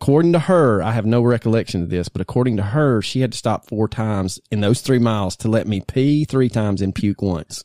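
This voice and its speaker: In a very clean recording with a silent background, a man speaks with a Southern US accent and a dark, mellow tone. His pitch is fairly low with ordinary variation, and his pace is moderate. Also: dry, close sound with no echo. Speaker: podcast co-host. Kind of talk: casual chat.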